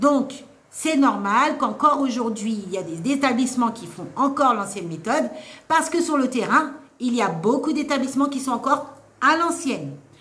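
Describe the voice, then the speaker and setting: Over noticeable background noise and audible room echo, a woman with a high pitch speaks at a moderate pace, her intonation lively and her loudness swinging widely. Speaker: nursing assistant trainer and author. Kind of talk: live stream Q&A advice. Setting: live stream. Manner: animated.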